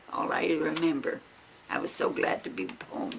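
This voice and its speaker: Noticeable background noise sits behind the voice. A woman speaks at a moderate pace. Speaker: great-grandmother interviewee. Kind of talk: family interview.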